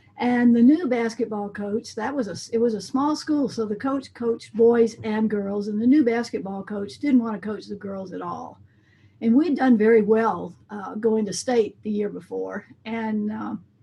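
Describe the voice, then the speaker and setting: A woman's fairly high, somewhat breathy voice with a dark, mellow tone, in an American accent, at a moderate pace with ordinary pitch variation and big swings in loudness. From US South, coastal Mississippi. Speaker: band director and music educator. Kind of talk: interview.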